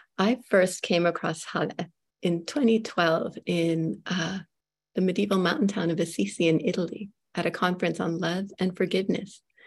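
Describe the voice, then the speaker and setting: Speaking at a moderate pace, a woman has a somewhat breathy voice. Her pitch is medium, with ordinary variation. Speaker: moderator, writer and poet. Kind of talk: interview moderation. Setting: video call webinar.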